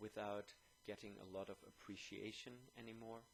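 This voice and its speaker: With a German accent, a man speaks at a fairly low pitch in a flat monotone. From Germany. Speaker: YouTuber. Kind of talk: video monologue. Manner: hesitant, many fillers.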